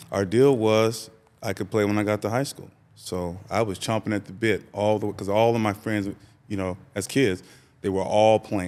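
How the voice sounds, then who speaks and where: The recording is very clean with a silent background. A man in a West Coast US accent talks at a moderate pace, fairly low in pitch and monotone. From Sacramento, California. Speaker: business consultant and former athlete. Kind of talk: interview conversation. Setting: podcast interview.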